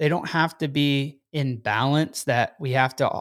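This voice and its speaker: A man's fairly high-pitched, normal speaking voice on a very clean recording with a silent background. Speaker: podcast host. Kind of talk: motivational monologue. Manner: upbeat.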